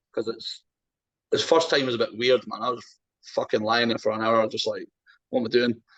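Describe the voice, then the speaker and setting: Speaking in an Edinburgh accent, a man moves at a fairly quick pace. He leaves long, frequent pauses. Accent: Scottish (Edinburgh). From Scotland, Edinburgh. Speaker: strongman athlete. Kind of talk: casual chat.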